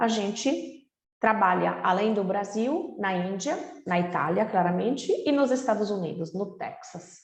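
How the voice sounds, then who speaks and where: A woman with a non-native accent speaks at a medium pitch and a fairly slow pace, her voice somewhat breathy. Her intonation is lively, and room echo can be heard. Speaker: real estate company representative. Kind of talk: webinar presentation.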